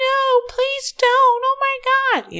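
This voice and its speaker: In a loud, put-on character voice, a female-sounding speaker holds an extremely high pitch with monotone, flat intonation. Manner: loud, dramatic, pleading.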